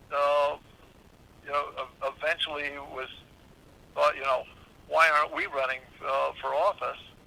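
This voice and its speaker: Speech moves at a fairly slow pace with long, frequent pauses. Noticeable background noise runs underneath. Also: man. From Southern California. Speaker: former longshoreman and county supervisor. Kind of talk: interview answer.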